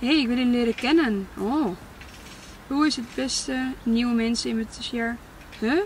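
A woman's high-pitched voice with ordinary pitch variation over light background noise. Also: dry sound with no echo. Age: 20s. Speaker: content creator. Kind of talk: casual Q&A vlog. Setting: in a car. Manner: hesitant, many fillers. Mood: reflective, candid. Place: car. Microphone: camera far.

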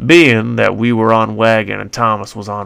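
A clip of plain reading aloud

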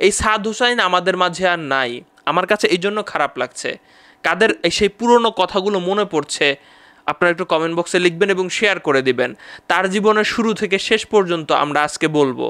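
With a bright, sharp tone, a man speaks at a high pitch with ordinary pitch variation. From Bangladesh. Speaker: YouTuber. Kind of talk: vlog monologue. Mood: somber, reflective. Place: studio. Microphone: studio mic.

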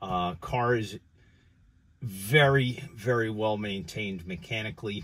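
Using a normal speaking voice, a man talks at a fairly low pitch with ordinary pitch variation. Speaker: car seller. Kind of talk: car walkthrough commentary. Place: car. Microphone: phone near.

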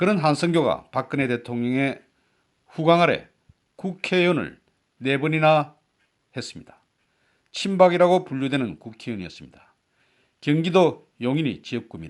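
Here a man speaks at a fairly high pitch and moderate pace with ordinary pitch variation. He leaves long, frequent pauses. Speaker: political commentary YouTuber, veteran broadcaster. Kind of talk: scripted political commentary. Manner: formal.

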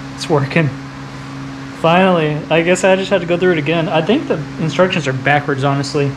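Noticeable background noise sits behind a man with a fairly high pitch. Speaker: car repair YouTuber. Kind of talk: casual tutorial. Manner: casual. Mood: playful teasing with child. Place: garage.

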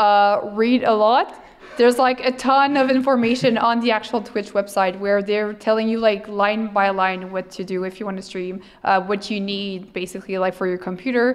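A woman speaks with a French accent at a moderate pace. Her intonation is fairly even. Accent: non-native English, French. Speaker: streamer and cosplayer. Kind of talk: interview answer. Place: hall. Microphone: handheld.

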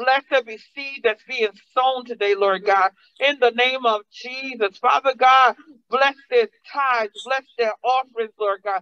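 The delivery is animated and fairly slow, set against a quiet background. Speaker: preacher. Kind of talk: sermon. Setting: church. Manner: animated, call-and-response preaching with congregation. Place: church. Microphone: podium.

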